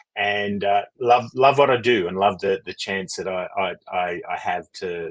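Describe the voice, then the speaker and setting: This man's fairly low voice moves along at a moderate pace. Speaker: leadership coach. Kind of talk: interview.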